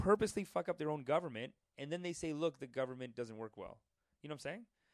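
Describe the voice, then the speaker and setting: Speaking very fast in an animated tone, a man with a fairly high pitch uses lively intonation, recorded dry and close with no echo. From Indian heritage, Gujarati family. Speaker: podcast co-host. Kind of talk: casual chat.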